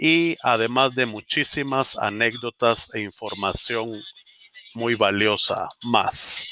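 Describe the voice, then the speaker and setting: With music in the background, a man in a Guatemalan accent speaks at a very slow pace, medium pitch, and ordinary pitch variation. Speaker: podcast host. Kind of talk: scripted podcast outro.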